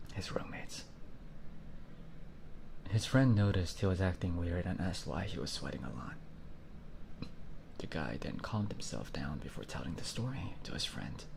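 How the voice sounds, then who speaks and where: Over noticeable background noise, a man with a very deep, low pitch speaks with lively intonation and long, frequent pauses. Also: moderate pace. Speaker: virtual YouTuber. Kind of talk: horror story reading. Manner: soft, ASMR-style whispered.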